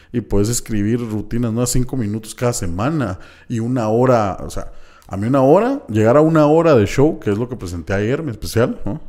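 The speaker is a man with a medium pitch. His voice has a dark, mellow tone. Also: ordinary pitch variation, fairly quick pace. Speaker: comedian. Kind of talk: casual chat.

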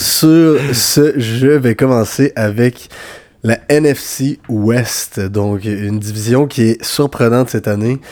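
Noticeable background noise behind a man speaking with fairly even intonation. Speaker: football podcast co-host. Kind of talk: casual chat.

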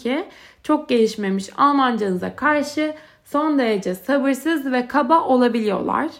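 This woman talks with a high pitch that varies in an ordinary way. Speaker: podcast host. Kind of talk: solo monologue podcast.

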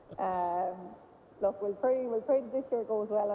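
A woman speaks in a western Irish accent at a fairly high pitch. Her intonation is lively. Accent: Irish (west of Ireland). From Ireland, Galway. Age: 30s. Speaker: camogie manager and former goalkeeper. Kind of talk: casual interview chat. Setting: phone call.

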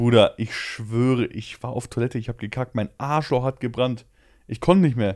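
At a moderate pace, the speaker uses a plain, everyday voice with ordinary pitch variation, on a very clean recording with a silent background. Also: man, medium pitch for a man. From Poland. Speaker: podcast host. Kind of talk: casual chat.

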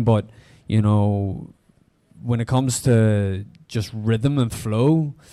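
A man's medium-pitched voice with a dark, mellow tone, a Belfast accent, fairly even intonation and a very slow pace. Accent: Belfast Northern Irish. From Northern Ireland, Belfast. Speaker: listening party participant. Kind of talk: group discussion. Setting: live event with audience.

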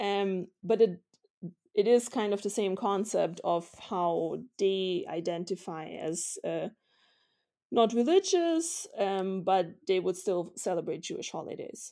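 A woman speaks with a German accent at medium pitch and a fairly slow pace, her tone dark and mellow. The recording is very clean, with a silent background. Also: ordinary pitch variation. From Vienna, Austria. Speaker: historian and author. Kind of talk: interview.

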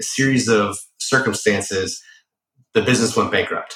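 Fairly even intonation runs through a man's speech in an American accent. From Boston area, Massachusetts. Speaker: former Secret Service agent, cybersecurity entrepreneur. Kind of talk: interview.

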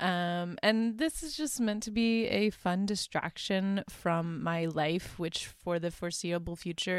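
A woman's fairly low voice with ordinary pitch variation, on a very clean recording with a silent background. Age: 20s. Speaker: podcast host, law student. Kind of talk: casual monologue recapping movie plots. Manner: frequent fillers (um, uh), informal.

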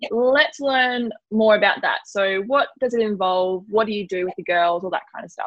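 A woman with an Australian accent talks with hardly any pauses at a fairly high pitch. Her pitch variation is ordinary, but her loudness swings widely. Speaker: podcast host. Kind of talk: casual interview. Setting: remote call recorded on laptop. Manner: fast.

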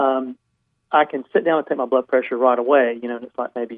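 A man's voice at medium pitch. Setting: phone call.

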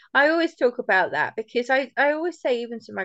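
A woman with an unremarkable speaking voice, moderate pace and ordinary pitch variation. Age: 40s. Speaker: podcast host. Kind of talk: casual conversational interview. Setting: video call. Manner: relaxed, informal, chatty.

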